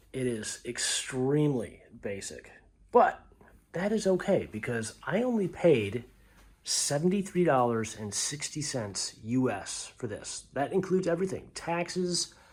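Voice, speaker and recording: On a very clean recording with a silent background, a man speaks quietly and somewhat breathily at fairly high pitch and a fairly slow pace, with very wide pitch swings. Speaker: travel vlogger. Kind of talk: hotel room tour. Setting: hotel room. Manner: quiet, subdued.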